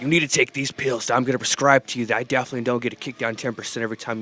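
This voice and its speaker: Over music in the background, a man at medium pitch talks at a very fast pace with fairly even intonation. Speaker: podcast co-host. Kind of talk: casual chat.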